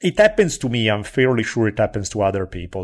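A man talks at a medium pitch with an Italian accent. The recording is very clean, with a silent background. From Italy. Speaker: history podcaster. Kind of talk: casual chat.

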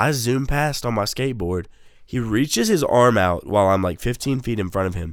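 A man with an American accent, a plain, everyday voice, medium pitch and lively intonation, on a very clean recording with a silent background. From United States. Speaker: podcast co-host. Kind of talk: casual chat.

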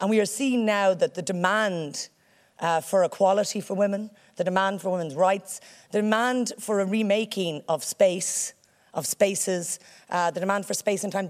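A woman speaks with an Irish accent at medium pitch and a moderate pace. The recording is very clean, with a silent background. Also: ordinary pitch variation. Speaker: senator. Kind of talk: public speech.

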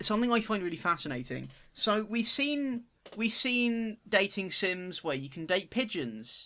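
On a very clean recording with a silent background, a man uses a raised, projected voice with a high pitch and a bright, sharp tone, speaking fairly slowly. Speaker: podcast host. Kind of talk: casual chat.

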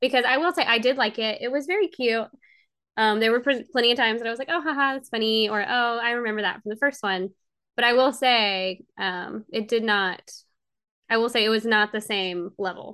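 A woman's fairly high voice with a Southern US accent, fairly quick and with ordinary pitch variation. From US state of Georgia. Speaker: princess party performer. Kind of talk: casual chat.

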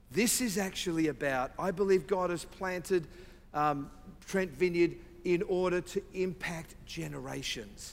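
A man talks in an Australian accent. His voice is high-pitched, with ordinary pitch variation. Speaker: visiting preacher. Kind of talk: sermon. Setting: church.

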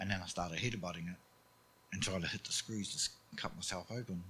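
A man's very deep, low, somewhat breathy voice with a New Zealand accent, fairly quick, with ordinary pitch variation. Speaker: church member sharing testimony. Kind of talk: testimony.

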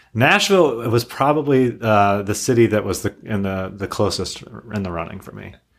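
With an American accent and an unremarkable speaking voice, a man speaks at a moderate pace and fairly low pitch, with ordinary pitch variation and big swings in loudness. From Arkansas, US South. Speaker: lawyer and startup executive. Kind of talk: casual interview.

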